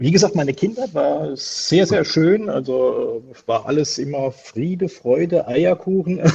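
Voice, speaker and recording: With lively intonation, a man speaks at a fairly slow pace in a fairly high pitch. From southwestern Germany, Palatinate (Pirmasens). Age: 50s. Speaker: wrestling promoter. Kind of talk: casual interview. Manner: hesitant, many filler sounds.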